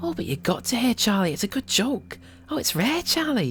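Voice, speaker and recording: Putting on a character voice, a man talks fairly quickly in a high pitch with very wide pitch swings, some hissing, and clear background noise. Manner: hissing, insinuating, cruel.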